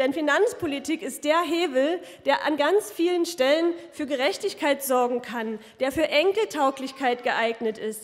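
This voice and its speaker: A high-pitched woman at a moderate pace, with lively intonation. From Saxony. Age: 30s. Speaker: politician. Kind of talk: campaign speech. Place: hall. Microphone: podium.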